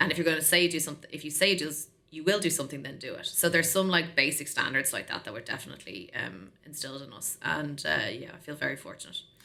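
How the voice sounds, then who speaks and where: A woman with an Irish accent, very fast pace, fairly low pitch, ordinary pitch variation and big swings in loudness. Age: 40s. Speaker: tech sales executive. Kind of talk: podcast interview. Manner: animated.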